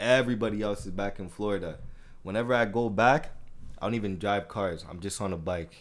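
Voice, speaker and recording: A man with a fairly low voice talks at a fairly quick pace with ordinary pitch variation, and room echo is audible. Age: 20s. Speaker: podcast host. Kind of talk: casual chat.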